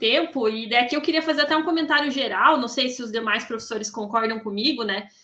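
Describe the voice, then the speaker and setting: A woman at a fairly quick pace with hardly any pauses and ordinary pitch variation, amid noticeable background noise. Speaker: professor on thesis review panel. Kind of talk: academic feedback to student. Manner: fast.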